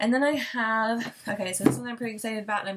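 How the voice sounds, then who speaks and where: A woman with a fairly high voice talks at a very fast pace over noticeable background noise. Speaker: book vlogger. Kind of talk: casual chat.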